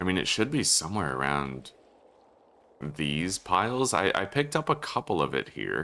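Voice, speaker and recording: A very deep, low male voice with a bright, sharp tone, vocal fry and very wide pitch swings. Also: moderate pace. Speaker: gaming streamer. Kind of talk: livestream gameplay commentary. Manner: loud; animated. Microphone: echo in room.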